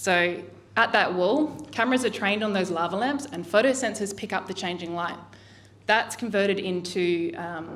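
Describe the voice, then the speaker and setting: A woman speaks with an Australian accent at a medium pitch. Her pitch varies in an ordinary way. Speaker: artist. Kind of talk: artist talk. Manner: fast.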